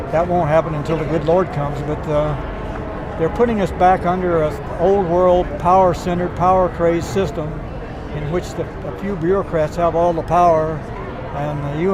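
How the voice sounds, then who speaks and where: Over noticeable background noise and audible room echo, a man speaks in a high pitch with monotone, flat intonation. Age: 70s. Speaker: rally attendee interviewed. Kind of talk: street interview.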